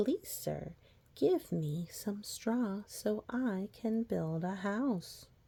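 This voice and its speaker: A put-on character voice, female-sounding and at a medium pitch for a woman, speaks at a very slow pace. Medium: read story. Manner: polite, then defiant.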